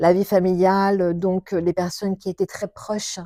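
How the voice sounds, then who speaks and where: On a very clean recording with a silent background and a dry, close sound with no echo, a woman speaks at a fairly slow pace in a medium-pitched voice with a dark, mellow tone. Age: 60s. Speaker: shiatsu practitioner. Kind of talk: interview. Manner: halting.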